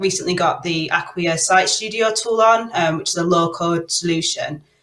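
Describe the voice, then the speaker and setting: A Manchester accent at a moderate pace. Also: woman. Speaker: product owner. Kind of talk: panel discussion.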